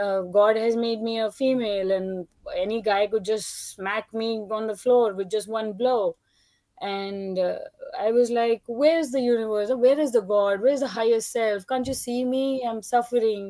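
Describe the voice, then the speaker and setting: Speaking with a non-native accent at a moderate pace, a woman has fairly high pitch with ordinary pitch variation. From India. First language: not English. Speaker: participant in spiritual discussion. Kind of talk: personal testimony.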